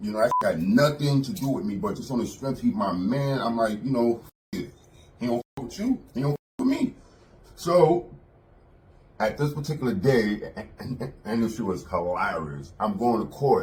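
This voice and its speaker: A man with a New York accent speaks at a moderate pace, his pitch medium. He leaves long, frequent pauses. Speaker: former prison inmate. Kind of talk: casual storytelling interview. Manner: animated.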